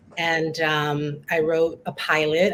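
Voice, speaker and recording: In a New York accent, a woman speaks with a fairly low pitch. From Queens, New York. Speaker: writer, performer, teaching artist. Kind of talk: interview answer.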